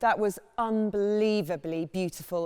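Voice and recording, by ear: Speaking at a fairly slow pace, a woman has a clear, smooth tone that is slightly mellow, with fairly even intonation.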